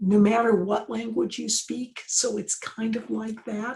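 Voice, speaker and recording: A woman with an American accent and a fairly high pitch. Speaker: professor. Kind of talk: interview. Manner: moderate pace, not fast; hesitant, many fillers.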